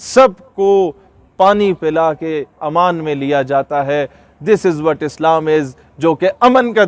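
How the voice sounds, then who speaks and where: A man's voice sounds dry and close, with no echo. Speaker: motivational speaker. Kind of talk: passionate public speech to an audience. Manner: fervent, emphatic, rhetorical.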